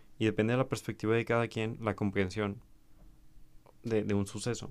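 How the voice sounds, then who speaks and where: This is a man speaking. He talks with a Mexican accent. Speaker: podcaster. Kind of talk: solo monologue reflection. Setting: home recording to camera. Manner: hesitant with repetitions.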